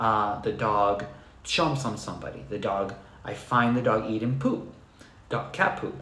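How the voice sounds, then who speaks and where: A man talks with a non-native accent. Audible echo from the room surrounds his voice. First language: not English. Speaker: dog trainer. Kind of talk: live stream Q&A talk. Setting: live stream on computer. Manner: soft-spoken.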